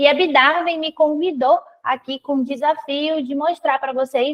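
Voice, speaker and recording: The pace is fairly slow. The speaker has a Brazilian accent. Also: woman. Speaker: financial consultant. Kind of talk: live webinar presentation.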